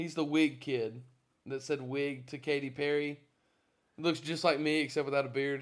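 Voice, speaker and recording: A man speaks at a moderate pace with an American accent. His fairly high voice stays monotone and flat. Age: 20s. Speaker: musician. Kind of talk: casual chat.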